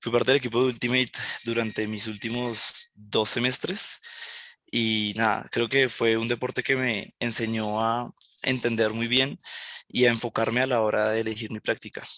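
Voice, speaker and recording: A man with a Colombian accent speaks at a moderate pace and medium pitch. His tone is bright and sharp, his intonation monotone and flat. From Colombia, Villavicencio (Llanos), born in Barranquilla. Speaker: junior software developer. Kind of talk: presentation talk. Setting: online event presentation on camera. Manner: hesitant, with fillers and repetitions.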